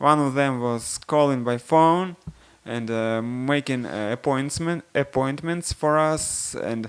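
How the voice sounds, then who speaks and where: A man speaks very slowly in a Russian accent. His voice is fairly high, with ordinary pitch variation. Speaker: software developer. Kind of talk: product demo. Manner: halting.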